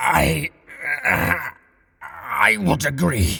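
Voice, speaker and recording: Putting on a character voice, a man speaks in a raspy, medium-pitched tone. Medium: audio drama. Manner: strained, halting.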